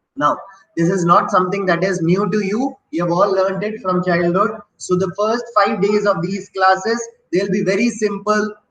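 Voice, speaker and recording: A high-pitched man with an Indian accent, ordinary pitch variation and a moderate pace. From Delhi, North India. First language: Hindi. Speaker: English teacher. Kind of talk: lecture.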